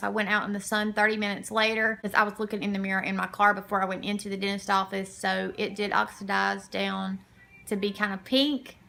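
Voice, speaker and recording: A woman talks as noticeable background noise carries on behind her. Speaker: beauty vlogger. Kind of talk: product review vlog. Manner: talking sideways, impaired articulation.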